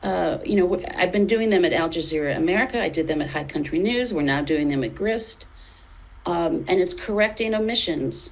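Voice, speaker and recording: Lively intonation and a fairly quick pace come through despite noticeable background noise. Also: woman, medium pitch for a woman. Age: 60s. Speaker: editor and journalist. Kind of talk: interview conversation. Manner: halting.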